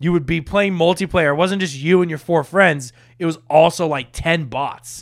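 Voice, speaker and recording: Speaking at a moderate pace, a man with a high pitch keeps his intonation fairly even. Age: 20s. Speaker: gaming podcast host. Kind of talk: casual chat. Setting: studio.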